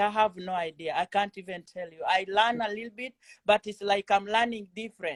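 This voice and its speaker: A woman with a Kenyan accent and a fairly high pitch, the sound dry and close with no echo. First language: Kenyan mother tongue and Swahili. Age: 40s. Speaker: trading student. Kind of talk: interview. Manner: halting.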